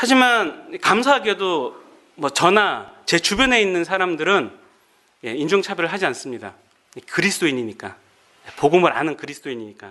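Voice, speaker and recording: Here a man with a high pitch and a bright, sharp tone talks at a moderate pace, his pitch swinging very widely. He leaves long, frequent pauses. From Korea, Gangwon Province. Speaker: pastor and Bible lecturer. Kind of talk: lecture.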